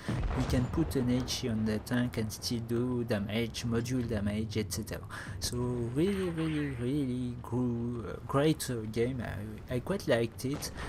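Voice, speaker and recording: With audible room echo, a man speaks at a fairly slow pace with hardly any pauses. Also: medium pitch for a man, ordinary pitch variation. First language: not English. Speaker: gaming commentator. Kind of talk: gameplay commentary. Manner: halting, many fillers.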